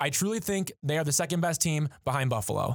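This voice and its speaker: A man's unremarkable speaking voice, fairly high in pitch with lively intonation, in a very clean, dry, close recording with a silent background and no echo. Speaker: student assistant sports editor, co-host. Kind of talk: casual sports discussion.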